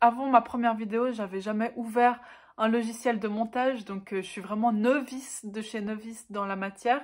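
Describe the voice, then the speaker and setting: Fairly slow speech from a woman at a fairly high pitch, with ordinary pitch variation, on a very clean recording with a silent background. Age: 20s. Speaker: book YouTuber. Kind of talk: casual talk to camera.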